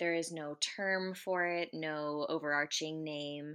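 A woman speaks with a very deep, low pitch and a bright, sharp tone. Her intonation is monotone and flat, and the background is quiet. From US. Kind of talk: interview testimony. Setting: remote interview.

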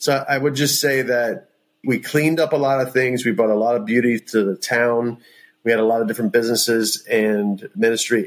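A man with an ordinary speaking voice talks at a medium pitch and a moderate pace. His loudness stays very even, and his intonation is fairly even. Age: 40s. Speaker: pastor and entrepreneur. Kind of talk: interview about faith.

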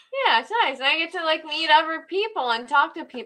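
Talking very fast, a woman with a Canadian accent projects her voice loudly. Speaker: background actor and author. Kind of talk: interview.

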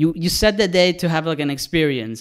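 This man has a normal speaking voice, pitched fairly high. He talks at a fairly quick pace with fairly even intonation. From Mexico, raised partly in Canada. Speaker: cinematographer and director. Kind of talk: casual chat. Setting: video call.

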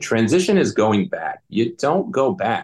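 A man's plain, everyday voice with ordinary pitch variation, at a moderate pace. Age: 40s. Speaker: military veteran and veteran coach. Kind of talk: interview.

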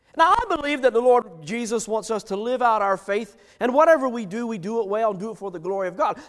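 This is a natural reading voice. Nothing else is noted.

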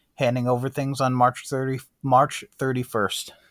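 On a very clean recording with a silent background, someone with an American accent speaks at a moderate pace. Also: man. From upstate New York. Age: 30s. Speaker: history instructor, newspaper publisher and mayor. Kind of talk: interview.

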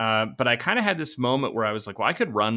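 A man with an American accent, fairly low in pitch with ordinary pitch variation and a bright, sharp tone, on a very clean recording with a silent background. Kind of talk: interview. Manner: dry.

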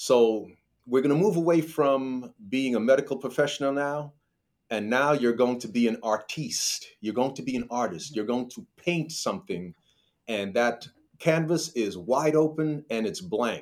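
With an American accent, a man speaks in a plain, everyday voice at a medium pitch. His pace is moderate and his intonation lively. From New York. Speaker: financial advisor. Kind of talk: interview.

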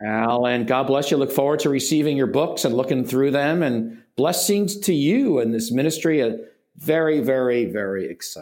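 A man's fairly high voice with lively intonation and audible room echo. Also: moderate pace. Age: 60s. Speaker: pastor and author. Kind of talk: interview. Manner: halting.

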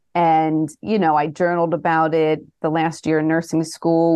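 A woman with a very deep, low pitch and a dark, mellow tone speaks in a monotone with flat intonation over a quiet background. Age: 40s. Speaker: pediatric nurse and health coach. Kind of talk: casual interview.

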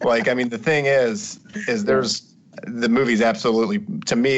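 Here is a plain, everyday voice. It moves at a moderate pace with lively intonation. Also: man. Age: 30s. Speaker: movie podcast guest. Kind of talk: casual chat.

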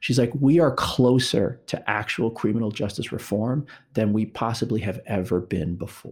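A man with an American accent talks at a moderate pace with ordinary pitch variation. It is a normal speaking voice, on a very clean recording with a silent background. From New York. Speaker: nonprofit executive. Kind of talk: interview.

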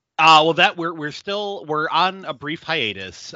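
This is a man talking at a moderate pace. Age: 40s. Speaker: podcast co-host, hospital office worker. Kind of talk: casual chat.

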